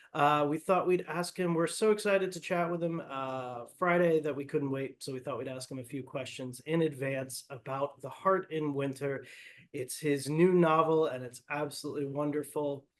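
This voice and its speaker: In a plain, everyday voice, the speaker goes at a moderate pace with ordinary pitch variation and hardly any pauses. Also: man, fairly high pitch for a man. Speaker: bookseller. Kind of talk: interview host, casual conversation.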